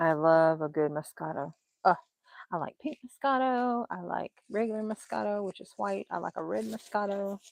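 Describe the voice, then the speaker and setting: With a Southern US accent, a woman with a fairly low pitch talks at a moderate pace, her pitch swinging very widely and her loudness rising and falling in big swings, all in a dry, close sound with no echo. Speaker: craft YouTuber. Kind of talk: casual livestream chat. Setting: late-night livestream.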